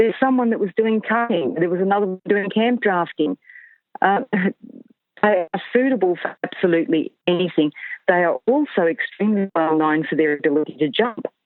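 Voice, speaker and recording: Her medium-pitched voice carries an Australian accent, and the woman talks at a fairly quick pace with lively intonation. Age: 60s. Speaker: horse retrainer. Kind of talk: interview.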